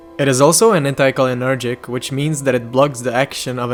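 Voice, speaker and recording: A very fast pace and fairly even intonation over background music. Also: man. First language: non-native English speaker. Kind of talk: educational harm-reduction narration.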